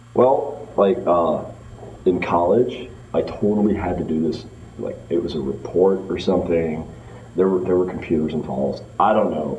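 With a very deep, low pitch, a man talks fairly slowly amid light background noise and audible room echo. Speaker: interview candidate. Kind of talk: acted interview answer. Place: meeting room. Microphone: camera far.

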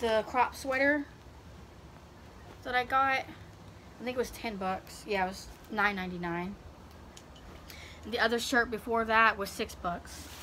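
Light background noise is audible. The voice has ordinary pitch variation. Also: woman. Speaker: vlogger. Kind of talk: casual try-on haul chat. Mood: upbeat, enthusiastic. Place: street. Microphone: phone near.

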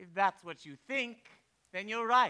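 A man's put-on character voice, high-pitched, clear and smooth yet bright and sharp, with lively intonation at a fairly slow pace

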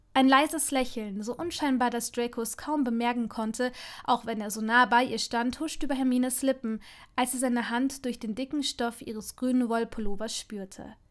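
A woman's high-pitched voice moves at a moderate pace with fairly even intonation, captured in a very clean recording against a silent background. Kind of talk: audiobook dramatic narration of a romance fanfiction.

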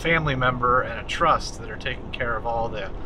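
Fairly even intonation from a man, with noticeable background noise behind. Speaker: vlogger. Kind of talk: casual vlog chat. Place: car. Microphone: phone near.

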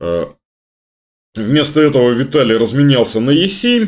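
A man's fairly slow delivery with very wide pitch swings. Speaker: chess grandmaster commentator. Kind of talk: commentary. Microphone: webcam.

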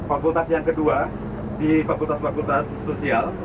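Loud background noise competes with a man talking at a moderate pace. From Indonesia. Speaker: project manager briefing university leaders. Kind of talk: institutional site briefing, like 1980s film narration. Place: bus.

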